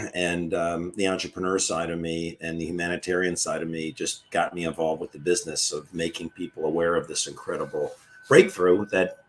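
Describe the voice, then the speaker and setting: Over noticeable background noise, a man with an American accent speaks at a fairly quick pace with hardly any pauses. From Maryland, US. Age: 60s. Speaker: retired foot surgeon. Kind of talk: interview. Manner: halting.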